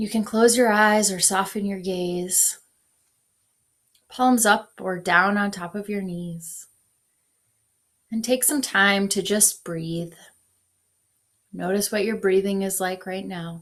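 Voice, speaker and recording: Speaking very slowly with long, frequent pauses, a woman with an American accent keeps a medium pitch and fairly even intonation. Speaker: pastor. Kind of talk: guided meditation. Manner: soft-spoken.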